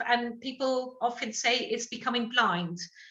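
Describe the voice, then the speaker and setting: Speaking at a fairly slow pace with a slight French accent, a woman uses a high pitch and ordinary pitch variation. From France. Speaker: sight loss support worker. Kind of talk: talk to a group.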